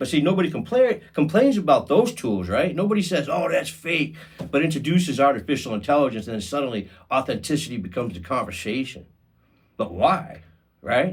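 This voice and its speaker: A man with a fairly high pitch and vocal fry moves through very wide pitch swings at a moderate pace. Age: 50s. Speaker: podcast host. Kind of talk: podcast monologue. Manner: casual, conversational with fillers; halting, repeats words.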